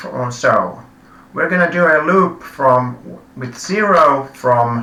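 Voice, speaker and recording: A man with a non-native accent speaks very slowly with lively intonation. Room echo is audible. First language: not English. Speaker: live coding streamer. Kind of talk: live coding tutorial. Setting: live stream. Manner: halting, many self-corrections.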